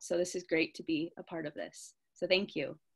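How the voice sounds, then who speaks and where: A woman with a Californian accent at a moderate pace. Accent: Californian American. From US, California. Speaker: poet. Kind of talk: panel introduction at online literary festival.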